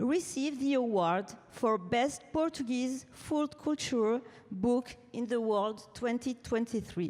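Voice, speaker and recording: A woman with a French accent, high in pitch, ordinary pitch variation, very even loudness, very slow pace. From France. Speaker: publisher and author. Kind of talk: award acceptance speech. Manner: reading from notes.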